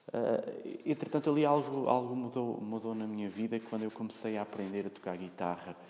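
Speaking fairly quickly with hardly any pauses, a man with a European Portuguese accent talks at a medium pitch. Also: ordinary pitch variation. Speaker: podcaster. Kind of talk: solo monologue. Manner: halting, many fillers and repetitions.

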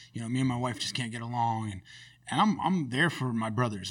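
On a very clean recording with a silent background, a man with an American accent speaks in an ordinary speaking voice at a medium pitch. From US West Coast, Sacramento area (California). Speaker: cashier and community group founder. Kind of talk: casual interview conversation.

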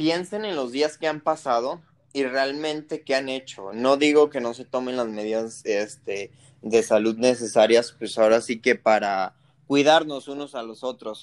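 The man's pitch sits fairly high, with lively intonation. He speaks at a fairly slow pace. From Mexico, Jalisco. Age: 20s. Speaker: small business owner. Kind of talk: casual chat. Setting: remote call. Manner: halting.

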